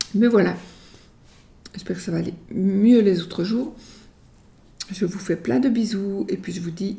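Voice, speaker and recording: A woman speaks fairly slowly at a medium pitch with a dark, mellow tone, vocal fry, ordinary pitch variation and long, frequent pauses, in a room with audible echo. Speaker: tarot card reader. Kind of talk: tarot reading video. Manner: casual, halting.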